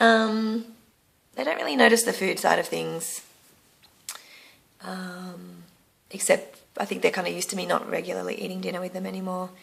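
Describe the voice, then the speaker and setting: A woman speaks at a moderate pace with an Australian accent. Her speech has long, frequent pauses. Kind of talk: casual talk to camera. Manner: hesitant, frequent filler words.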